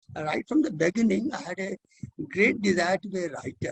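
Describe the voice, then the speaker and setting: Dry, close sound with no echo, in an Indian accent. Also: man. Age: 80s+. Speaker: educator and author. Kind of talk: interview answer. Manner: positive, energetic.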